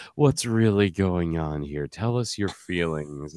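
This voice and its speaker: A man puts on a character voice, very deep and low, at a fairly slow pace. The recording is very clean over a silent background. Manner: mock concerned, patronizing.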